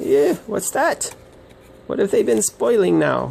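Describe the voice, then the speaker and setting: This man uses a put-on character voice. He speaks at a fairly slow pace. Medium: read story. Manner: scolding, sharp.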